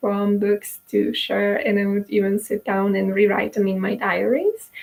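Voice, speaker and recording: A woman with a Polish accent, moderate pace, monotone and flat intonation. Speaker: YouTuber selling courses. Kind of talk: personal monologue to camera. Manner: halting, many fillers.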